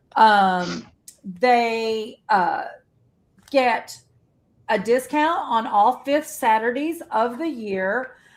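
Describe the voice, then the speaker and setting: A woman speaks loudly in a high voice. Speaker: quilt shop owner and live stream host. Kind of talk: casual live stream chat.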